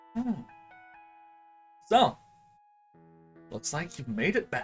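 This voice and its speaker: Pitched in the middle range, a put-on character voice moves through very wide pitch swings at a fairly slow pace while faint music plays in the background. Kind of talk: calm, measured. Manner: stern but soft-spoken.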